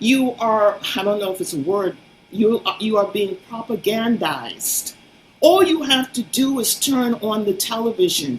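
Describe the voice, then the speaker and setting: A woman talks fairly slowly while noticeable noise sits in the background. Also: fairly high pitch for a woman, lively intonation. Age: 70s. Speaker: fitness advocate. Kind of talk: interview. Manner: animated.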